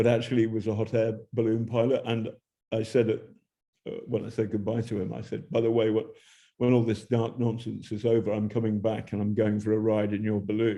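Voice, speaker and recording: A man with an English accent speaks at a fairly quick pace, his dark, mellow tone sitting at a medium pitch and his intonation monotone and flat. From England. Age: old. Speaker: journalist. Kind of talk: interview.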